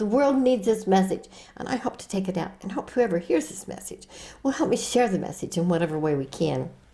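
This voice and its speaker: A woman speaks at a fairly quick pace and a medium pitch. Noticeable background noise runs underneath. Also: lively intonation. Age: 80s+. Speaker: author and suicide prevention speaker. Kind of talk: interview. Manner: animated.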